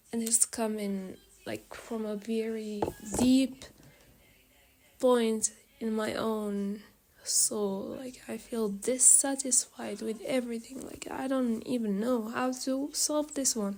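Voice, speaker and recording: A woman speaks in a fairly high pitch at a very slow pace. Noticeable background noise runs behind her. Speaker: student vlogger. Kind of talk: personal rant monologue. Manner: hesitant, filler-heavy.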